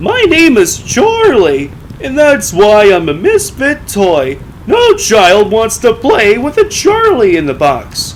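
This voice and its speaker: A man performs in a put-on character voice at a fairly slow pace. Clear background noise is present. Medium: read story.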